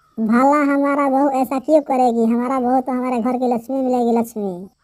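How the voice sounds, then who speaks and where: Someone performs a cartoonish character voice. The pace is moderate. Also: female-sounding voice, high pitch for a woman. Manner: crafty, boastful.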